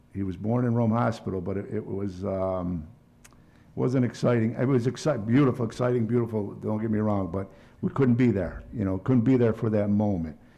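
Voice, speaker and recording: A man with an American accent talks at a moderate pace in a fairly low, dark and mellow voice. His pitch variation is ordinary, and there is audible room echo. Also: long, frequent pauses. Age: 60s. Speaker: city council member. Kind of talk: council meeting remarks. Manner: halting, many fillers.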